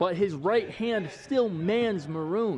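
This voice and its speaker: Upbeat and energetic, a man with an American accent speaks at a high pitch with lively intonation. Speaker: local sports reporter and show host. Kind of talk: sports anchor / reporter reel. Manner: upbeat, energetic, punny.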